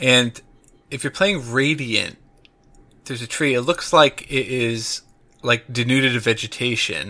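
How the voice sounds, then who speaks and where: The man's tone is bright and sharp, with ordinary pitch variation. He leaves long, frequent pauses. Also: medium pitch for a man, fairly slow pace. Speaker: podcast host. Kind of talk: casual chat.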